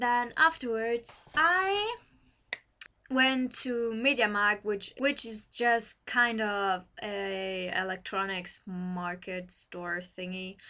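A woman with a German accent speaks at a very slow pace in a fairly high pitch and a bright, sharp tone against a quiet background. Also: ordinary pitch variation. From Germany. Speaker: university student. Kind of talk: casual talk to camera. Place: home room. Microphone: webcam.

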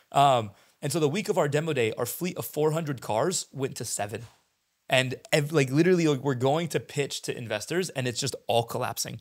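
A man with an American accent at a fairly quick pace, ordinary pitch variation, and a quiet background. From US West Coast, San Diego; California. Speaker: startup founder and CEO; podcast guest. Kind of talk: casual interview. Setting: in person. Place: studio. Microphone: handheld.

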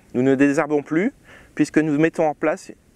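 The recording is dry, without any echo. A man does the talking. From France, Champagne region (Marne); Champagne, France. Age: 30s. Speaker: winemaker. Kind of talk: tutorial. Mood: calm, informative. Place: farm machine. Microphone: lapel.

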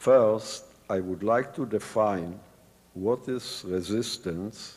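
Very slow delivery with ordinary pitch variation. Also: man. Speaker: Holocaust survivor and former resistance fighter. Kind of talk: lecture. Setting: stage with audience.

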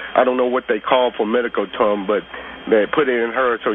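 Over noticeable background noise, the speech moves at a fairly quick pace with fairly even intonation. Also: man. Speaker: caller. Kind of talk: call-in radio talk. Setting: phone call. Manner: halting.

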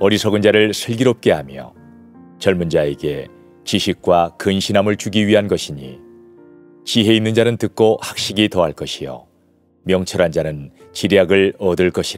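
Over music in the background, a man with a fairly low voice speaks at a moderate pace with ordinary pitch variation, the sound dry with no echo. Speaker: pastor and former broadcast voice actor. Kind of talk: Bible reading. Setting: studio, with piano music in the background. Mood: warm, gently expressive.

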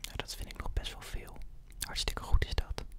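Whispering at a fairly slow pace. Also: man. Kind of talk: role-play consultation, calm soft talk. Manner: soft, close-mic ASMR speaking voice. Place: home room. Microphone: studio mic.

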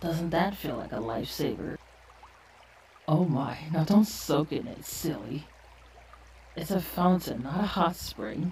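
Delivered at a fairly slow pace, this put-on character voice sits at a middle pitch and breaks into long, frequent pauses. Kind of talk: ASMR role play. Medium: role play. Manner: soft-spoken, gentle.

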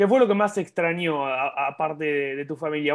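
A man talks over a quiet background, his pitch varying in an ordinary way. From Argentina. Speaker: sports channel interviewer. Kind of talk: interview. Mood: friendly, upbeat. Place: home room. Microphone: earbuds.

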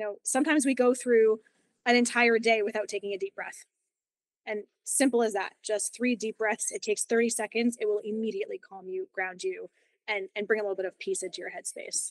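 Over a quiet background, a woman with a fairly high pitch and ordinary pitch variation talks at a fairly quick pace in a dry recording with no echo. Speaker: yoga teacher. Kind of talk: interview. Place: home room. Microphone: video call.

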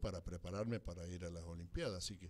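This man speaks with a very deep, low pitch. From Argentina, San Rafael, Mendoza; Mendoza, Argentina. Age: 80s+. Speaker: former cyclist; interview guest. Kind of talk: interview. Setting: studio. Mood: nostalgic storytelling. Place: studio.

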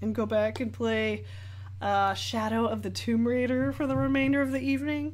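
Fairly slow speech in an American accent from a woman, amid audible room echo. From Northern California, Sacramento area. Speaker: artist and painting streamer. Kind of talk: live-stream chat while painting. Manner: animated.

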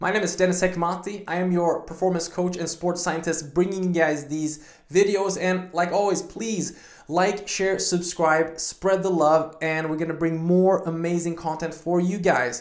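A man with a high pitch for a man speaks at a moderate pace in a monotone, flat intonation, with audible room echo over a quiet background. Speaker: performance coach. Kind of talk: fitness vlog intro. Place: home room.

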